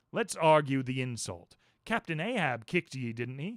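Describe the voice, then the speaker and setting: Speaking in a put-on character voice, a man keeps his pitch in the middle range. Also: moderate pace. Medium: read story. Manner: cryptic, lecturing, repeats himself.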